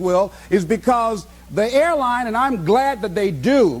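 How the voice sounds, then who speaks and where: Noticeable background noise sits behind a man with an American accent who speaks at a fairly slow pace with lively intonation. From United States. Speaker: motivational speaker. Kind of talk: motivational speech.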